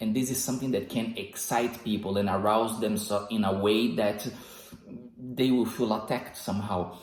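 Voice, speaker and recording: With noticeable background noise and audible room echo, a man talks at a moderate pace in a fairly low, monotone, flat voice of very even loudness. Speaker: self-improvement video host. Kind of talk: motivational monologue. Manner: controlled volume.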